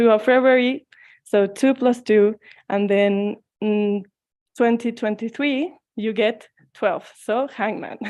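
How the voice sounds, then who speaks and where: A woman with a fairly high pitch speaks very slowly, leaving long, frequent pauses. Her intonation stays fairly even. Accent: Mexican. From Mexico. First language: Spanish. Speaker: tarot reader. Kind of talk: talk.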